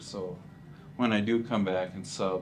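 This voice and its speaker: Against music in the background and audible room echo, a man with an American accent speaks at a fairly slow pace and a fairly low pitch, with ordinary pitch variation. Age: 60s. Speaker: retiring school teacher. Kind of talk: interview.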